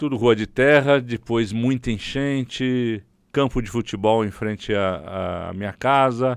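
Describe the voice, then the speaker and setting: A man with an ordinary speaking voice talks at a fairly slow pace and medium pitch. His intonation is fairly even, and the background is quiet. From Brazil, São Paulo city. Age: 60s. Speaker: city councillor, politician. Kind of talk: interview.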